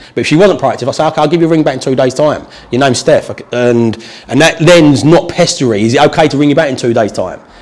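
A man with a southern English accent, very fast pace and ordinary pitch variation. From southern England. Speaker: property investor and trainer; trainer. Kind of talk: tutorial / training session with live call. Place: meeting room.

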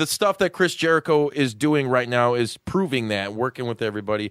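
An animated tone and lively intonation at a fairly quick pace, dry and close with no echo, on a very clean recording with a silent background. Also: man. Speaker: podcast host. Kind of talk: wrestling promo-style banter, hyped-up ring-announcer intro. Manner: animated, loud, hyped, profane, joking.

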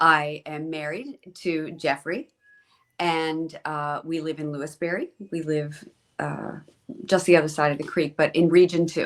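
A woman with a central Pennsylvania accent has a very deep, low pitch. Her intonation is monotone and flat, while her loudness swings widely. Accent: central Pennsylvania American. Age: 60s. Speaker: school board president. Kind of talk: interview. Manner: hesitant, many fillers.

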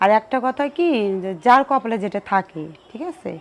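A woman's fairly high-pitched, ordinary speaking voice with lively intonation. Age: 30s. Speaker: widow seeking remarriage. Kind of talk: interview.

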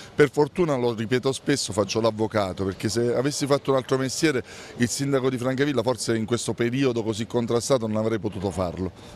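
Very fast speech from a man, dry with no echo, over light background noise. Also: ordinary pitch variation. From Abruzzo, Italy. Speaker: mayor. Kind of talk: interview. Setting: outdoors. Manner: combative. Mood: dismissive, mildly irritated. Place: street. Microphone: handheld.

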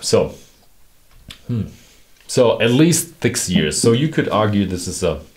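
The man speaks at a fairly slow pace. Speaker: whisky reviewer. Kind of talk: product review commentary. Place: studio.

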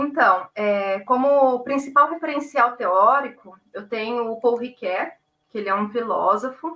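The voice has a bright, sharp tone and ordinary pitch variation. It moves at a fairly slow pace with big swings in loudness. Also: woman, high pitch for a woman. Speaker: guest. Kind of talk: interview answer. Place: home room. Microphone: video call.

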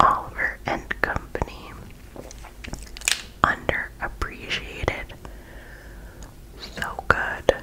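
A soft-spoken woman's whisper at a very slow pace, with light background noise. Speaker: hobby creator. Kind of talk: casual vlog chat. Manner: soft ASMR whisper. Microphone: phone near.

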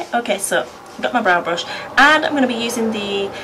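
High-pitched woman with a British accent and lively intonation, over noticeable background noise. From United Kingdom. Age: 20s. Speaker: beauty vlogger, mum. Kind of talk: casual talk to camera. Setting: indoors by a window, traffic noise. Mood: relaxed, self-deprecating. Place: home room. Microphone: camera far.

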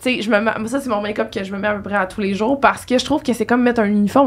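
Very fast speech from a woman with a fairly high pitch. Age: 20s. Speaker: podcast host. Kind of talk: casual interview chat. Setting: studio. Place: studio. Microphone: studio mic.

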